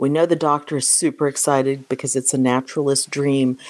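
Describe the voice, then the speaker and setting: A woman's very deep, low voice at a moderate pace. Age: 60s. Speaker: podcast co-host. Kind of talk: casual chat.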